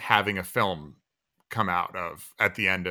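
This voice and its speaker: Speaking slowly with an American accent, a man with a fairly low voice and a bright, sharp tone comes through a very clean recording with a silent background. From Northern California. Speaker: film director. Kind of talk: interview monologue.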